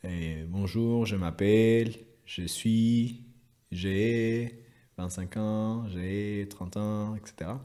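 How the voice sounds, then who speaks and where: A man with a Spanish accent, a dark, mellow tone, and a very slow pace. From Chile. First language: Spanish (speaking French). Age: 30s. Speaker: engineer. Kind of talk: interview. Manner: halting.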